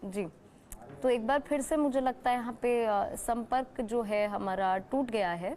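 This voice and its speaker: A woman uses a normal speaking voice, pitched fairly high, and her pitch moves in an ordinary way. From Uttarakhand, India. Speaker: TV news anchor. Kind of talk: live TV interview. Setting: remote video link on Facebook live.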